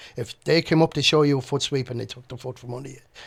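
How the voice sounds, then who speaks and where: Somewhat breathy, the voice keeps a fairly even intonation. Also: man. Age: 60s. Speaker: martial arts instructor and former doorman. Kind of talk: interview. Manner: halting.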